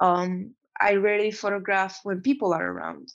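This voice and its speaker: Against a quiet background, a woman with a Romanian accent talks at medium pitch. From Romania, Transylvania. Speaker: photographer and actor. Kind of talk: interview. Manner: halting.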